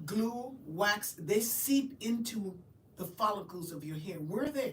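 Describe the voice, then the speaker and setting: A woman speaks at a medium pitch and a fairly slow pace, with lively intonation. Audible room echo and noticeable background noise fill the recording. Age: 60s. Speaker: trichologist and cosmetologist. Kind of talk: live-stream interview. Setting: live stream.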